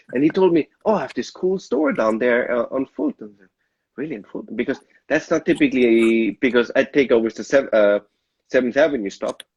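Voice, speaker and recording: In a dry, close recording with no echo, a man with an Austrian accent talks at a fairly quick pace, his medium-pitched voice carrying lively intonation. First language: German. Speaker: sommelier. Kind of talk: casual chat. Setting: live video stream.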